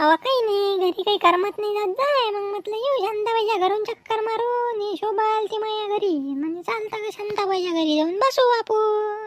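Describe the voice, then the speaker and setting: Using a cartoonish character voice, a woman speaks at an extremely high pitch with ordinary pitch variation and a moderate pace. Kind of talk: cartoon comedy skit. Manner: mocking, loud.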